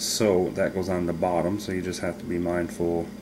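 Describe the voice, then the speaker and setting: A man talks in a very deep, low pitch. Noticeable background noise runs behind him. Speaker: hobbyist demonstrator. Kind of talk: tutorial. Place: home room. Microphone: camera far.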